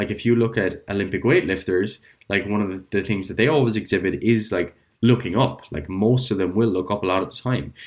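A man with an Irish accent talks at a fairly quick pace and fairly low pitch with ordinary pitch variation, in a very clean recording with a silent background. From Ireland. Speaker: physiotherapist. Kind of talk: casual chat.

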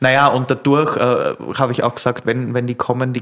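A man at a medium pitch, talking at a fairly quick pace. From Austria, rural Lower Austria. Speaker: sommelier and restaurateur. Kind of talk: casual interview. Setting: on location in a venue.

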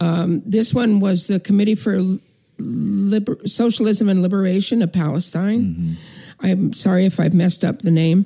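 An American accent colors this woman's somewhat breathy voice, which has a dark, mellow tone. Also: medium pitch for a woman, ordinary pitch variation, moderate pace. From northern California. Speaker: activist. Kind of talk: interview.

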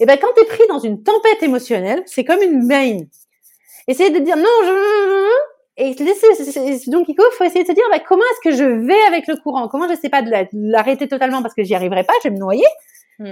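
A woman's high pitch with very wide swings, a dark, mellow tone and a fairly quick pace. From southwest France (Bordeaux), later Normandy. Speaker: emotional exploration facilitator. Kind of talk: casual interview.

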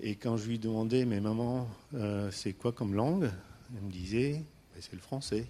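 At a fairly slow pace with long, frequent pauses, a man speaks at a medium pitch with ordinary pitch variation and a dark, mellow tone. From Istanbul, Turkey (Armenian family). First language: Armenian (speaking French). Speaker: entrepreneur. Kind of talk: personal storytelling talk. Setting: stage with audience. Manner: halting, many hesitations.

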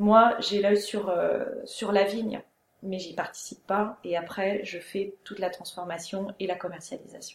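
At a fairly slow pace, a woman speaks with an unremarkable speaking voice and medium pitch. Her intonation is fairly even, while her loudness swings widely. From Alsace, Strasbourg. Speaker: winemaker. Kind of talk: interview.

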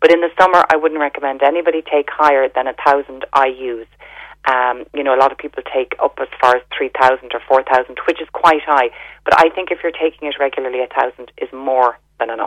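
A woman with an Irish accent and a very deep, low pitch talks at a fairly quick pace with fairly even intonation, in dry, close sound with no echo. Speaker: health store owner. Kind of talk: radio interview.

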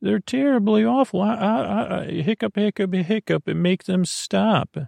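A man uses a put-on character voice with a high pitch, vocal fry, a slightly mellow tone and ordinary pitch variation. His fairly slow delivery sounds dry and close, with no echo.

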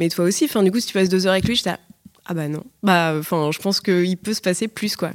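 Speaking at a fairly quick pace, a woman uses a normal speaking voice at a medium pitch with fairly even intonation. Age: 20s. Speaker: advertising worker. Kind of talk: casual chat.

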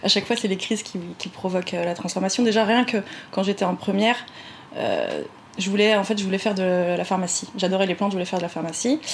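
There is noticeable background noise as a woman speaks very fast. Her pitch is medium and her intonation fairly even. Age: 30s. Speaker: naturopath. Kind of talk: interview conversation.

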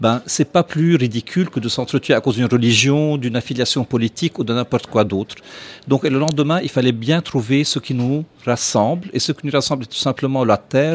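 A man with a plain, everyday voice speaks at a fairly quick pace and a medium pitch. His pitch varies in an ordinary way, and the sound is dry and close with no echo. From Lebanon. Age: 40s. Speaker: restaurateur. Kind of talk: casual chat.

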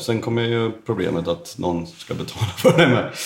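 Pitched fairly low, a man's voice varies in pitch in an ordinary way. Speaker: tile setter. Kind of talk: casual chat. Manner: fast.

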